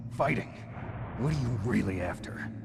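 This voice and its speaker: Over loud background noise, a man uses a put-on character voice at a medium pitch and a moderate pace. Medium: video game. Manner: terse, guarded.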